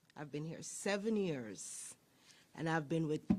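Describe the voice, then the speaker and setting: A woman speaks with a Jamaican accent. Her pace is very slow. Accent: Jamaican accent, noticeable. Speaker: sheriff's deputy. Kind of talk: public speech.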